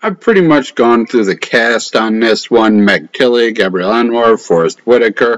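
With hardly any pauses, a man talks at a moderate pace, his loudness very even and his pitch varying in an ordinary way over a quiet background. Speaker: film reviewer. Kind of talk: casual movie review chat. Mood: sardonic, mildly annoyed. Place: home room. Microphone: webcam.

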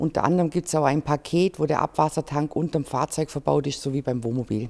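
Her voice sits very deep and low, with a dark, mellow tone, as this woman speaks at a fairly quick pace. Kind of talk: interview answer. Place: hall. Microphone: handheld.

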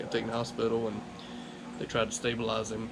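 A man's voice over noticeable background noise. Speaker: car vlogger. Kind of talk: personal vlog talk about a loss. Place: home room. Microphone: camera far.

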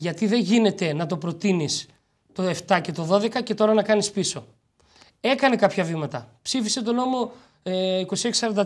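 At a moderate pace, a man talks in a high pitch with ordinary pitch variation. The background is quiet. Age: 30s. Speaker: president of a large-family federation; guest. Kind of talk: TV interview; interview answer. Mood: earnest, advocating. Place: studio.

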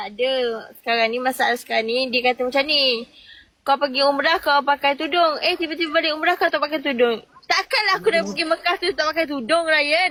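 A woman speaks in an angry tone at a fairly quick pace, her high voice rising and falling in an ordinary way. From Terengganu, Malaysia. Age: 20s. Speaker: TikTok live guest. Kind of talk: casual chat. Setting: in a car. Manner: sounds angry.

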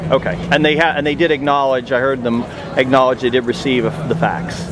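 A man's fairly quick, fairly evenly intoned speech over noticeable background noise. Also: dry sound with no echo. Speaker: homeowner at a foreclosure auction. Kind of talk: casual conversation about a foreclosure auction. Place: street. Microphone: phone near.

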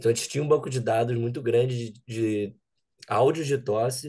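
Against a quiet background, a man talks in a somewhat breathy, dark, mellow tone at medium pitch with fairly even intonation. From Brazil, Rio de Janeiro. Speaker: data scientist, bootcamp alumnus. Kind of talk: interview.

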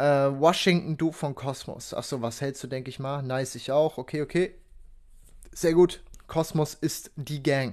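Against a quiet background, a man talks at a fairly slow pace with fairly high pitch and fairly even intonation. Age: 20s. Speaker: crypto content creator and student; crypto content creator. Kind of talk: casual livestream chat. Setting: livestream. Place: home room. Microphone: studio mic.

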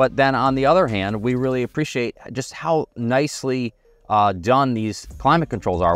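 Moderate pace, a dry sound with no echo, and faint music in the background. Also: man. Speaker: car reviewer. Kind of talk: product review commentary. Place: car. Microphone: lapel.

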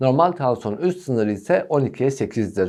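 A man speaks at a moderate pace with a dark, mellow tone and very wide pitch swings. The background is quiet. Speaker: physician. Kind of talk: health explainer video.

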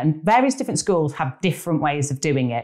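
A woman speaks in a Lancashire accent. The background is quiet. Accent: northern English (Lancashire). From northern England. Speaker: actress, writer and film director. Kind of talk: casual interview. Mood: warm, laughing at times. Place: home room. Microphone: lapel.

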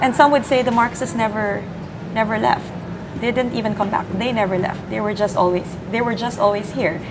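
There is noticeable background noise behind a woman with a fairly high pitch. She speaks at a fairly quick pace with ordinary pitch variation. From Philippines. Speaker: sociologist; interview guest, commentator. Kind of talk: live election-night panel discussion. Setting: studio. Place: office. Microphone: lapel.

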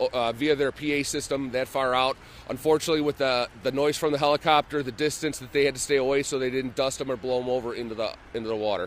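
A man at a very fast pace, with ordinary pitch variation and light background noise. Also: dry sound with no echo. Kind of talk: interview answer. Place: waterside. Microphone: handheld.

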